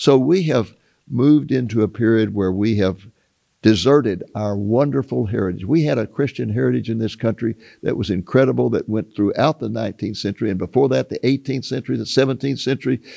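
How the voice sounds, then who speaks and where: Over a quiet background, a man with vocal fry speaks at a fairly quick pace, his medium pitch showing ordinary pitch variation. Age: 80s. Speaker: author and Bible prophecy teacher. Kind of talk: interview discussion. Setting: studio.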